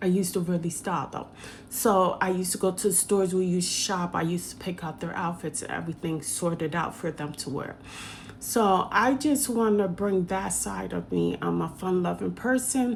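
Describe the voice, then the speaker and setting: This woman has a fairly low voice with ordinary pitch variation. She talks at a moderate pace. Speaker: hairstylist and vlogger. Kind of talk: casual vlog monologue.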